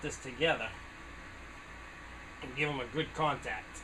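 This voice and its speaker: Noticeable background noise sits behind a man speaking with a New England accent. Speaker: small engine repair hobbyist. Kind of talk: tutorial. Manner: casual, conversational.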